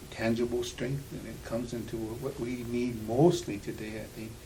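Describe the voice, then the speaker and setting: A man speaks at a moderate pace and medium pitch with fairly even intonation. Audible room echo surrounds his voice. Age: 60s. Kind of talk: interview. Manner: halting.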